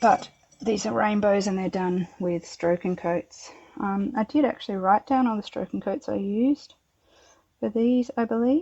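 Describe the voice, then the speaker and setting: Medium in pitch, a woman speaks at a moderate pace with ordinary pitch variation. The sound is dry and close, without echo. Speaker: home potter. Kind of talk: casual tutorial-style kiln unloading.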